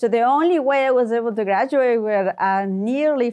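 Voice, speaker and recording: The voice carries a Spanish accent and ordinary pitch variation. The background is quiet. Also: woman. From Ecuador. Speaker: tech executive and engineer. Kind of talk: podcast interview.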